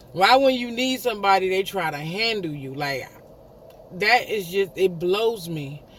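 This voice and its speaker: Against noticeable background noise, a man with a high pitch talks at a fairly slow pace. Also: lively intonation. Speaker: vlogger. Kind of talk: casual storytelling monologue.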